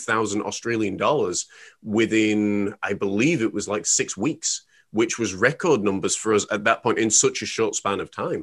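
A plain, everyday voice from a man, medium in pitch, with fairly even intonation. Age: 30s. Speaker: life coach. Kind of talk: casual chat.

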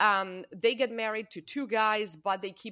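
A woman speaks at a medium pitch with a bright, sharp tone. Her intonation stays fairly even. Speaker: gamer panelist. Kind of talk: casual panel chat.

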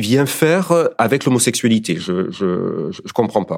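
Speaking at a fairly slow pace, a man shows vocal fry and very wide pitch swings. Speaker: partner of guest. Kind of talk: testimony.

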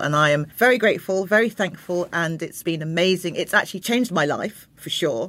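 A woman's fairly low voice with lively intonation at a fairly quick pace. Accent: London. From London (Croydon). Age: 50s. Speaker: interiors blogger, former fashion journalist. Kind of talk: casual interview chat.

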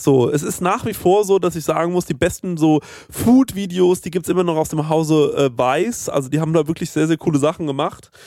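Here a man talks at a fairly quick pace and fairly high pitch. His tone is dark and mellow, with ordinary pitch variation. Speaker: podcast co-host. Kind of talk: casual chat.

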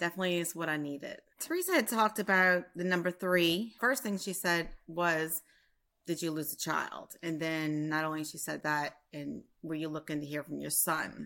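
Speaking in a Louisiana accent at a moderate pace, a woman has a fairly low pitch, a bright, sharp tone and ordinary pitch variation, on a very clean recording with a silent background. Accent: Southern US (Louisiana). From Louisiana, US South. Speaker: reading client, bereaved mother.

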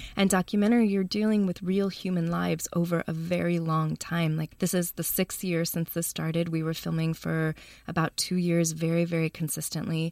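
A woman with an American accent, fairly low and monotone, flat intonation, fairly quick with hardly any pauses, on a very clean recording with a silent background. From US Midwest, Chicago. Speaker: documentary filmmaker. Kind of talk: interview.

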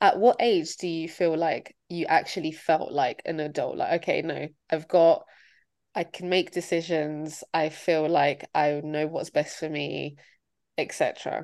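Against a quiet background, a woman speaks in an ordinary speaking voice. Her pitch is fairly low, her pace fairly slow and her intonation fairly even. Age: 20s. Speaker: podcast co-host. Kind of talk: casual chat.

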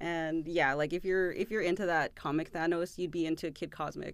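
A woman with an American accent and an ordinary speaking voice talks at a fairly low pitch and a fairly quick pace. Her intonation is fairly even, on a very clean recording with a silent background. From Southern California. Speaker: podcast co-host and editor-in-chief.

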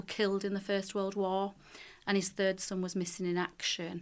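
With a Lancashire accent, a woman speaks at a medium pitch with fairly even intonation. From Leigh, Lancashire. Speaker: charitable trust director. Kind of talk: podcast panel discussion.

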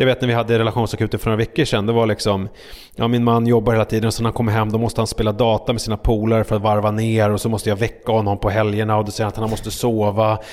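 Very fast and in a monotone, flat intonation, a man speaks at medium pitch. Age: 40s. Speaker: podcaster and TV relationship panelist. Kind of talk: casual chat. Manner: halting.

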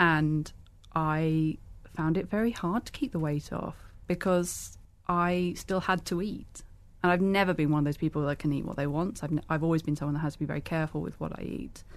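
In a British accent, a woman speaks at a fairly quick pace. Her pitch is very deep and low, and her intonation fairly even. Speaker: blogger. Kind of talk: casual chat.

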